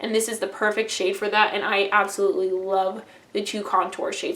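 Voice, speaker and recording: Over noticeable background noise, a woman talks fairly quickly at a fairly high pitch. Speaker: beauty vlogger. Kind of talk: casual product review monologue. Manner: fast; animated.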